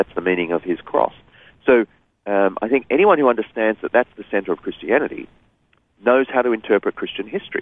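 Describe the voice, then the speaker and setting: Talking at a very fast pace, a man with an Australian accent breaks his speech with long, frequent pauses. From Sydney, Australia. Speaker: author and speaker. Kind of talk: interview.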